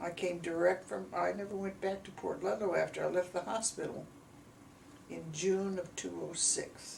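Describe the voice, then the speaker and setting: In an American accent, a woman talks at a moderate pace against noticeable background noise. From US Midwest, Gary, Indiana. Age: 90s. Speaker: elderly mother recounting her life. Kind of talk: family oral history interview. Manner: halting.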